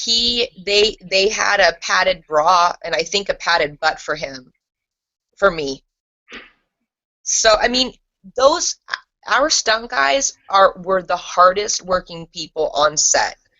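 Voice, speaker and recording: A woman with a Californian accent speaks at medium pitch and a very slow pace, with lively intonation and long, frequent pauses. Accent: General American, Californian. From Los Angeles area, US. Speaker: former TV actress. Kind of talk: interview.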